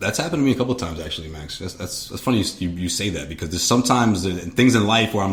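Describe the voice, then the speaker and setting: Talking at a very fast pace over noticeable background noise, a man with an American accent uses a fairly low pitch with ordinary variation. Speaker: podcast co-host. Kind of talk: casual chat.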